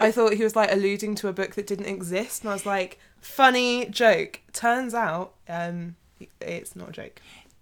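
A woman's medium-pitched voice at a moderate pace, with fairly even intonation, big swings in loudness, and a very clean recording over a silent background. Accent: British. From Britain. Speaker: podcast co-host. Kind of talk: casual chat. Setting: home recording room.

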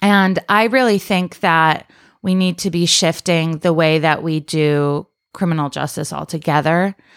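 In an American accent, a woman speaks at a fairly slow pace with a calm tone and a fairly low pitch. Her pitch varies in an ordinary way, and the recording is very clean with a silent background. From upstate New York (Rochester). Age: 30s. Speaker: political candidate and activist. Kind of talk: casual interview. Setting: at her home, around a kitchen table.

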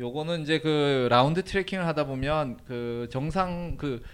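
A man speaks very slowly at a fairly high pitch with ordinary pitch variation. The recording is very clean, with a silent background. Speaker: travel writer and Turkey expert. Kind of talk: casual interview, telling life story. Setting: live event with audience.

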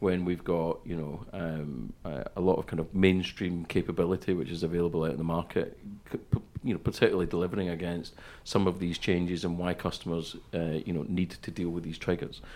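At a fairly quick pace, a man speaks with fairly even intonation at a very deep, low pitch. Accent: Scottish. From west coast of Scotland. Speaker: podcast co-host. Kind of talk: casual chat.

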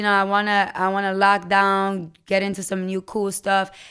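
A woman with an American accent and a plain, everyday voice speaks at a moderate pace and medium pitch in a very clean recording with a silent background. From US Virgin Islands. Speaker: podcaster. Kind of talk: casual chat. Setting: radio studio.

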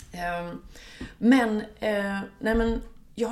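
A woman's voice carries audible room echo, with music in the background. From Sweden, Gothenburg suburb. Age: 40s. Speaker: music journalist and author. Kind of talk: casual interview. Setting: home kitchen. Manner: animated.

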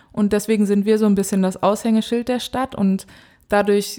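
At a moderate pace, a woman speaks at medium pitch in a monotone, flat intonation with a dark, mellow tone. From Germany, Dortmund (Ruhr area). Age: 20s. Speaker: professional footballer. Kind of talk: casual interview.

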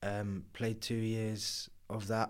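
In a southern English accent, a man speaks very slowly at a fairly low pitch with monotone, flat intonation, on a very clean recording with a silent background. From southern England, Kent. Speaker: professional rugby player. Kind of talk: interview.

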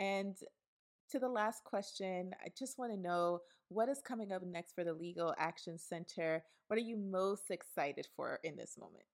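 In a normal speaking voice with an American accent, a woman talks at a moderate pace and medium pitch with ordinary pitch variation. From New York City (Brooklyn). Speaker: podcast host, housing campaign manager. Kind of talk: interview podcast.

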